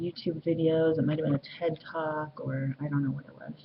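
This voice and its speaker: A woman with a fairly low pitch speaks at a moderate pace. Noticeable background noise can be heard. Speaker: vlogger. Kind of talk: casual vlog monologue. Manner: halting, many fillers.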